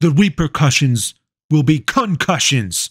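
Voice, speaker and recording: A man's put-on character voice, fairly high with lively intonation at a moderate pace, in a dry, close sound with no echo. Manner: commanding, dramatic.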